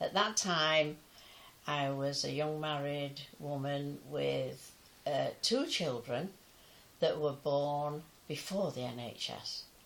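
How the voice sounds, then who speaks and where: A woman with an English accent talks at a very slow pace. Her pitch is very deep and low, with ordinary variation. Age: 90s. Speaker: pensioner sharing memories. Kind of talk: personal testimony. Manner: halting.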